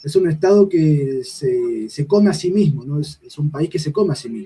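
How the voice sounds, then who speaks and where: A man with a Uruguayan accent, fairly high in pitch. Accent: Rioplatense Spanish (Uruguayan). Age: 20s. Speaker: political activist. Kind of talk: political discussion on a livestream. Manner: hesitant, many fillers.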